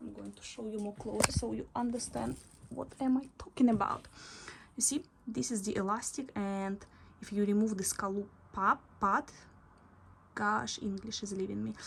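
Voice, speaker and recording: A woman with a non-native accent at a moderate pace, her loudness swinging widely, with long, frequent pauses. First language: not English. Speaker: sewing instructor. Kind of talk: tutorial. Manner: halting, with fillers.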